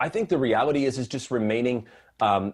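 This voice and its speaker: A man with an American accent at medium pitch, ordinary pitch variation, on a very clean recording with a silent background. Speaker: mortgage advisor. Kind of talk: interview. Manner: fast; calm.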